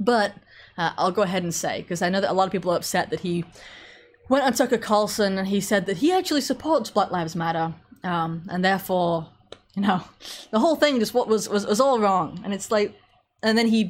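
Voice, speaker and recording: Speaking at a moderate pace with long, frequent pauses, a woman uses a medium pitch and ordinary pitch variation. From England. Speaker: political commentator. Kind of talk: live stream commentary. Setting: solo live stream with chat. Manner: casual, frequent fillers.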